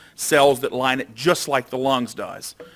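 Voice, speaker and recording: A man talks with an Alabama accent. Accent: Southern US (Alabama). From Alabama, US South. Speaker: doctor and researcher. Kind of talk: lecture.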